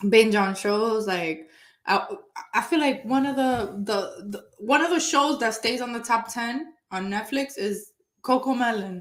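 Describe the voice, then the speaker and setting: A woman's fairly high voice with a non-native accent, fairly slow in pace, with ordinary pitch variation. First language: not English. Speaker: real estate agent, show co-host. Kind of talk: casual chat. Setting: live stream.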